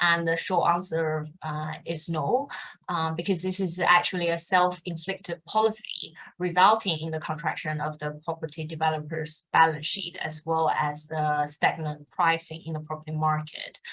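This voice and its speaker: In a Mandarin accent, a woman speaks at a moderate pace and fairly low pitch with monotone, flat intonation. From China. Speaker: fund manager. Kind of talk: interview. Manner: hesitant with fillers.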